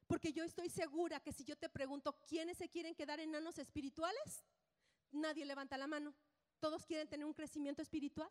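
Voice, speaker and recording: This woman's voice is high-pitched and animated, moving at a fairly quick pace in a dry, close sound with no echo. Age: 50s. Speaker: preacher. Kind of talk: sermon.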